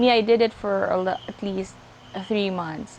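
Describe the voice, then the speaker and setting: Speaking with a Filipino accent, a woman talks at a moderate pace with fairly even intonation. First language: Tagalog. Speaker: vlogger. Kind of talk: casual talk to camera. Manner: halting, code-switching.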